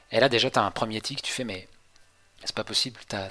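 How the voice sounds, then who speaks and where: Noticeable background noise sits under a man's medium-pitched voice. He speaks at a fairly quick pace with fairly even intonation. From western France, near Angers. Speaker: traveller recounting a world trip. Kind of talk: casual interview chat. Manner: hesitant, many repetitions and fillers.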